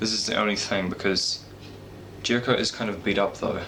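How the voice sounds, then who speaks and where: A quiet man talks at a fairly quick pace amid noticeable background noise and audible room echo. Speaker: wrestling YouTuber. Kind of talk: casual vlog predictions. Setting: home at night, parents asleep. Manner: speaking quietly; halting.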